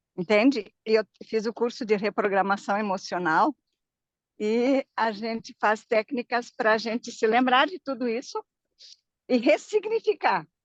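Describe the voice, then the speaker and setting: A woman with a plain, everyday voice speaks at a fairly slow pace, her pitch fairly high with ordinary variation. The sound is dry and close, with no echo. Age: 60s. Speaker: viewer joining live, emotional therapist. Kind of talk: casual chat. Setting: video call while walking outdoors.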